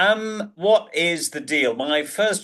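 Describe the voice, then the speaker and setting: With a southern English accent, a man speaks in a bright, sharp tone, his pitch swinging very widely. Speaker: presentation skills coach and professional speaker. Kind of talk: interview. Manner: sarcastic.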